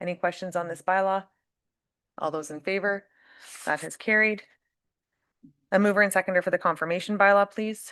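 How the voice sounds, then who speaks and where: A woman's bright, sharp voice in a monotone, flat delivery at a fairly quick pace, with big swings in loudness and long, frequent pauses against a quiet background. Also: medium pitch for a woman. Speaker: mayor chairing council meeting. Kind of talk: formal meeting chairing.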